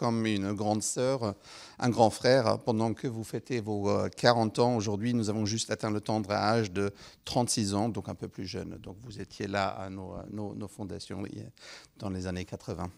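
A man with a non-native accent, fairly low in pitch, ordinary pitch variation, a fairly slow pace, and a quiet background. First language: not French (speaking French). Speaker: head of a parliamentary science foresight unit; speaker. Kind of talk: formal address at a round table. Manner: halting, many hesitations. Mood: polite, slightly hesitant. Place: hall. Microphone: handheld.

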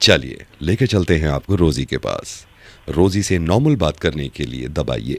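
Vocal fry runs through a man's lively intonation in a dry recording with no echo. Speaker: comedian doing prank call. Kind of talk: mock automated phone menu voice. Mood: playful, suppressed smiling. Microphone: studio mic.

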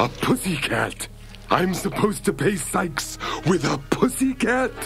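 Someone does a put-on character voice at a moderate pace, with clear background noise behind it. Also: man, high pitch for a man. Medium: read story. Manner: anxious, fretful, rambling.

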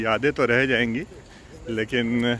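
A man talking at a fairly slow pace, with a dry, echo-free sound and light background noise. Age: 30s. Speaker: law student and vlogger; vlogger. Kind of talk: casual vlog talk to camera. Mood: reflective, nostalgic. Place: open country. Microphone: phone near.

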